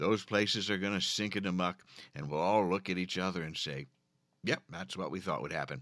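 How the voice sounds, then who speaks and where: The recording is very clean with a silent background, capturing a man with an American accent whose very deep, low pitch carries ordinary pitch variation at a fairly quick pace. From Philadelphia area. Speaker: podcast host. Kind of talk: scripted comedic intro then casual interview. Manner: animated, theatrical.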